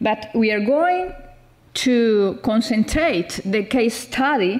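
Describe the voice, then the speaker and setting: Speaking very slowly, a woman with a Spanish accent uses a fairly high pitch and lively intonation. Noticeable background noise runs under her voice. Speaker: professor. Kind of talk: conference presentation. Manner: halting.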